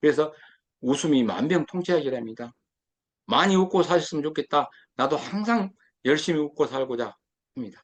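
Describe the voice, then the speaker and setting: Lively intonation marks this man's fairly high voice. He keeps a moderate pace with long, frequent pauses. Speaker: lecturer. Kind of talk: lecture.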